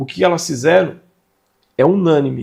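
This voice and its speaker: A man's high-pitched voice carries lively intonation. He speaks at a fairly slow pace. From Brazil, São Paulo state (Vale do Paraíba). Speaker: manual therapy instructor. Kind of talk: online lecture. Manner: conversational, emphatic.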